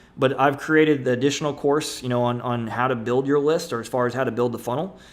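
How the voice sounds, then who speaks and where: The voice comes very fast with fairly even intonation, amid noticeable background noise and audible room echo. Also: man, medium pitch for a man. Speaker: internet marketer. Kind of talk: webinar presentation. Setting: webinar.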